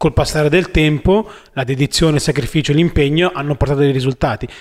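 This man has a plain, everyday voice, fairly high in pitch with ordinary variation, and he talks at a fairly quick pace. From northern Italy, Milan. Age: 30s. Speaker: inline skater and videomaker. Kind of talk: casual chat.

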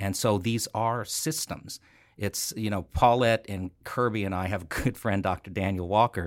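A man with a plain, everyday voice, fairly low in pitch, with an American accent, fairly even intonation and a moderate pace, on a very clean recording with a silent background. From California. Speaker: nonprofit foundation leader. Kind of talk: interview.

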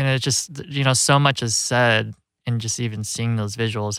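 In a plain, everyday voice, a man with an American accent speaks at a moderate pace and a medium pitch. His intonation is fairly even, and the recording is very clean with a silent background. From US Midwest, Rockford, Illinois. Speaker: documentary filmmaker. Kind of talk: interview. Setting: studio. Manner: casual, many fillers.

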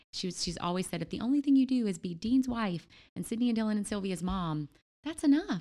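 A woman speaks at a very fast pace with lively intonation and a dark, mellow, somewhat breathy tone, in a very clean recording with a silent background. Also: fairly high pitch for a woman. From Louisiana. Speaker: church planter's wife. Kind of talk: casual interview.

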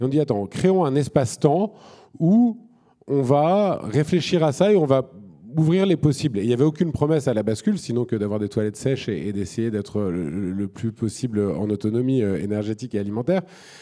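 A man talks at a moderate pace with a dark, mellow tone. His pitch swings very widely. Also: medium pitch for a man, very clean recording, silent background. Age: 40s. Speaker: environmental activist and entrepreneur. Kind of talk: panel discussion on stage. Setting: stage with audience.

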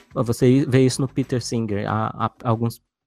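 Over music in the background, a man speaks with a dry, close sound and no echo. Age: 30s. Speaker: geneticist and biologist. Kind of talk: casual chat.

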